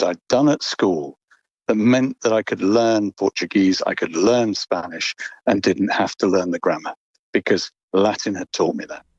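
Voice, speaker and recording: With a plain, everyday voice, a man talks at a moderate pace and with lively intonation in a dry, close sound with no echo. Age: 60s. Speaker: listener, adult language learner. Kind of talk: recorded personal account.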